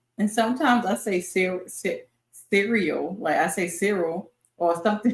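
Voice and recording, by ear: A somewhat breathy woman with a Baltimore accent, medium pitch, ordinary pitch variation and a fairly slow pace. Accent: Baltimore local.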